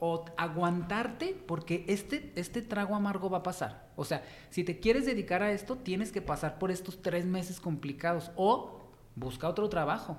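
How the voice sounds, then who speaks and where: A man speaks with a Mexican accent at a moderate pace. His pitch sits high and varies in an ordinary way. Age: 30s. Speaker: fashion stylist. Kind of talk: interview.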